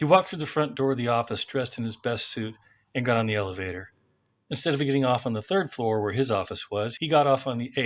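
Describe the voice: Quiet surroundings, ordinary pitch variation, and plain reading aloud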